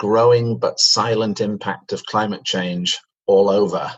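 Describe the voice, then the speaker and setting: A man's fairly slow delivery with a British accent. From Manchester, England. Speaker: company chief executive. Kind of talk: interview. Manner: hesitant fillers.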